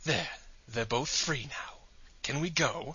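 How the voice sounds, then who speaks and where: At a fairly slow pace, a man uses a put-on character voice pitched fairly high. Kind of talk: comic parody acting. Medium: audio drama. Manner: exasperated, sarcastic.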